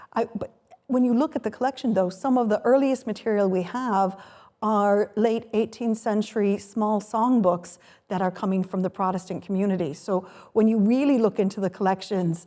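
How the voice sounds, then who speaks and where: A woman talks at a moderate pace with an American accent. Her pitch is fairly high and varies in an ordinary way. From US Midwest, Chicago. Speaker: folklore professor. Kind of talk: panel discussion. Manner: halting, many restarts.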